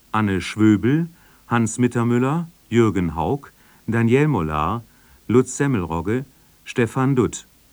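A man's fairly low voice, lively in intonation, at a fairly slow pace

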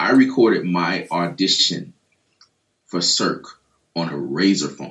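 At a fairly slow pace, a man speaks with lively intonation and long, frequent pauses. His pitch is very deep and low. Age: 30s. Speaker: touring drummer. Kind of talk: casual chat. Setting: video call.

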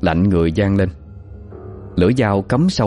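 Reading in a natural voice

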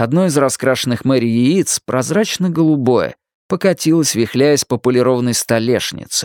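Heard here is an unforced reading voice. The background is quiet.

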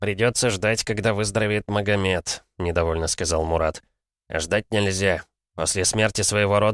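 In quiet surroundings, the words are read in an unforced voice.

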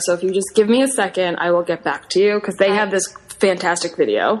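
With an American accent and ordinary pitch variation, the speech comes at a very fast pace over noticeable background noise. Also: woman. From Long Island, New York. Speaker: improv performer. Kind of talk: casual chat.

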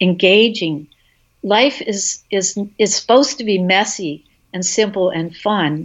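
Here is a woman with an unremarkable speaking voice at a medium pitch. Her intonation is lively and her pace fairly slow. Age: 60s. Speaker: herbalist. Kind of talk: interview conversation. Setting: remote audio call.

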